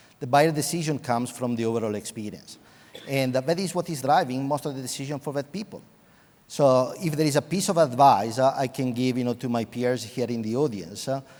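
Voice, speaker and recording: A man talks at a fairly quick pace. His pitch sits in the medium range, with ordinary pitch variation. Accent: Italian. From Italy, Venice. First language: Italian. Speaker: IT executive. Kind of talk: panel discussion.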